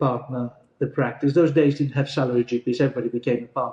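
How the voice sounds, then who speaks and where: Dark, mellow tone in a somewhat breathy male voice. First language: Greek. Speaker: GP partner. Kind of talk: interview.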